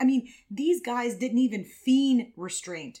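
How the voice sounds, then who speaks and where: A woman's playful, animated tone. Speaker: podcast host. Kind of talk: history podcast narration, scripted. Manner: playful, jokey, animated; steady storytelling pace, explanatory.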